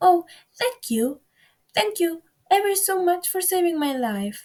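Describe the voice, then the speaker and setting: A woman uses a put-on character voice that is squeaky and extremely high in pitch. She speaks at a fairly slow pace. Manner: grateful.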